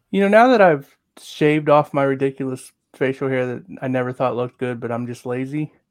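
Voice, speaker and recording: A man speaks in a normal speaking voice at medium pitch with ordinary variation. He talks at a fairly quick pace over a quiet background. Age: 40s. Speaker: wrestling podcast co-host. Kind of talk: casual chat.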